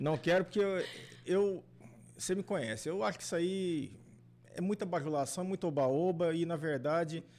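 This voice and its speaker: A high-pitched man speaks at a moderate pace with ordinary pitch variation and long, frequent pauses. The recording is very clean, with a silent background. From São Paulo city, Brazil. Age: 50s. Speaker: engineer and former vice mayor. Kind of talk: podcast interview. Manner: casual, conversational.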